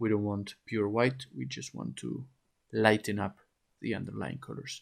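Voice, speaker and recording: A man with a non-native accent, fairly low pitch, moderate pace. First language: not English. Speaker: oil painting teacher. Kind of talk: tutorial. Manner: halting, with frequent repetitions and fillers.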